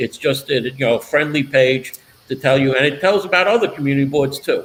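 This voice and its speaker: A man's fairly high voice in a Brooklyn accent, at a fairly quick pace, with ordinary pitch variation and very even loudness. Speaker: political talk show host. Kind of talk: casual interview chat.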